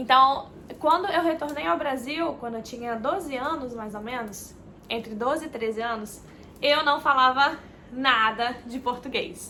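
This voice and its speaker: A raised, projected voice speaks at a fairly slow pace with ordinary pitch variation and big swings in loudness. Noticeable background noise and audible room echo surround it. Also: woman, high pitch for a woman. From Minas Gerais, Brazil and Florida, USA. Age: 20s. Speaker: travel vlogger. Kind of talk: casual personal introduction vlog. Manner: hesitant, many filler words.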